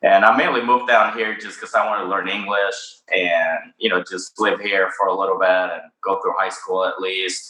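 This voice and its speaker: Speaking in a Spanish accent, a man keeps a moderate pace with hardly any pauses, using a fairly low pitch and monotone, flat intonation. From Mexico City, Mexico. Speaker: cannabis company founder. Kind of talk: interview. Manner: hesitant, many fillers.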